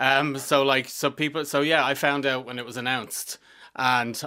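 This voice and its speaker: Speaking at a fairly quick pace, a man with a Dublin accent has a bright, sharp tone. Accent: Dublin Irish. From Dublin, Ireland (Finglas). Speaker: theatre writer and director. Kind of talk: casual interview. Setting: studio.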